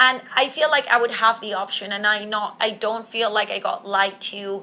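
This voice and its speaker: At a moderate pace, a woman with a non-native accent speaks in a fairly high voice. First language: not English. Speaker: podcast host. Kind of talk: solo podcast monologue. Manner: casual, conversational.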